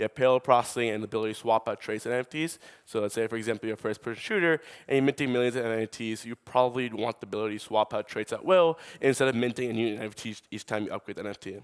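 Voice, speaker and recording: A very fast man with a New York accent, medium pitch and ordinary pitch variation, in a very clean, silent recording with a dry, close sound and no echo. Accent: New York American. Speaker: startup co-founder. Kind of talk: conference talk.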